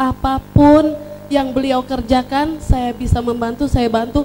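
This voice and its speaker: A woman's high voice at a very slow pace, with ordinary pitch variation and noticeable background noise. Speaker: book reviewer at a launch. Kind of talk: public speech at book launch.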